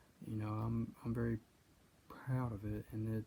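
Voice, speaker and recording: A man's somewhat breathy, dark, mellow voice at a medium pitch, with monotone, flat intonation and a moderate pace. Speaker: country singer-songwriter. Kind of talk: personal storytelling monologue. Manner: halting, many fillers and repetitions.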